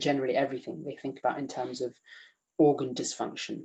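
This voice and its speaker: A man with a British accent. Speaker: emergency medicine doctor teaching. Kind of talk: online lecture quiz. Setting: video call. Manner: fast; halting with many fillers.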